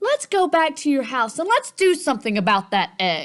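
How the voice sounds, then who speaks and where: Pitch leaps very widely in this put-on character voice. Its speed is moderate. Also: woman. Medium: read story.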